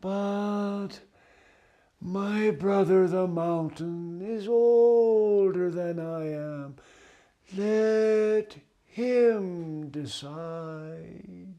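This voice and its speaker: A man's put-on character voice, high-pitched for a man, at a very slow pace with audible echo. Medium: read story.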